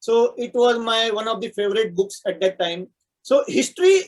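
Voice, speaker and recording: With a Marathi accent, a man speaks at a high pitch with ordinary pitch variation and a moderate pace. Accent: Indian English, Marathi. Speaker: software architect and poet. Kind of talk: interview.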